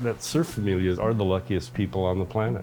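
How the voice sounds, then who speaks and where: A man with a very deep, low pitch speaks very fast, his intonation lively. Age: 70s. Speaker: surfer. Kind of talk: documentary interview answer.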